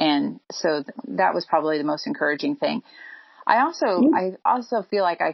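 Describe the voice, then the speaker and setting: A woman with a fairly low voice speaks at a fairly quick pace. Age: 40s. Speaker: mother and program client. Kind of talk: casual interview. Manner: hesitant, frequent ums.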